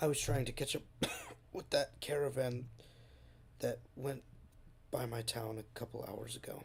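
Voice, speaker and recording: A raspy, put-on character voice moves at a moderate pace, broken by long, frequent pauses. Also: man, medium pitch for a man. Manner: hurried, tired.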